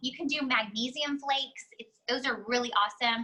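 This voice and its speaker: A woman's raised, projected voice, high in pitch with ordinary pitch variation. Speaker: essential oils educator, mother. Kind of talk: online class / webinar. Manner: fast; casual, filler-heavy.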